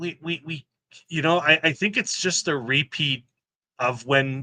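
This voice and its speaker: The man's voice has a bright, sharp tone, captured with a dry, close sound with no echo. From Quebec, Montreal. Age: 50s. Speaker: kayak fishing club ambassador. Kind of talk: casual interview chat. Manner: halting, repeats words.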